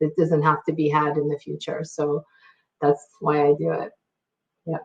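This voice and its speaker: A woman with a very deep, low pitch and vocal fry talks at a moderate pace in a monotone, flat intonation. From immigrant to Canada at six. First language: not English. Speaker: panelist. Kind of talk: panel discussion. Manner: halting.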